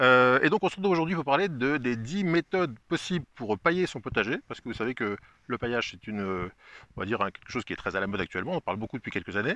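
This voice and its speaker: A man talks at a very fast pace, his medium-pitched voice bright and sharp with very wide pitch swings. Loudness swings widely, and the sound is dry and close with no echo. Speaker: gardening YouTuber. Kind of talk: casual interview.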